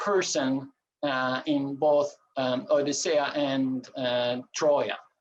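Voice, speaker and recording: A man with a Turkish accent and a fairly high pitch speaks at a very slow pace. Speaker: coin collector and presenter. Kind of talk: lecture. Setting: video call. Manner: halting, many filler sounds.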